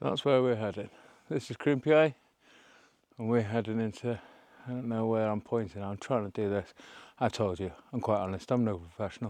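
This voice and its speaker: Against a quiet background, a man mumbles at a medium pitch with ordinary pitch variation and long, frequent pauses. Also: fairly quick pace. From North Wales. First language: Welsh. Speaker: hiking vlogger. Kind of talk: casual vlog narration. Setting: outdoors. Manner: mumbling; rambling, casual.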